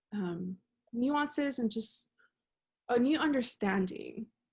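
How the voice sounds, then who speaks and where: A woman speaks with an American accent. Her voice is somewhat breathy and her pace fairly slow. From Monterrey, Mexico and Laredo, Texas. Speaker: journalism student. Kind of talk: interview answer.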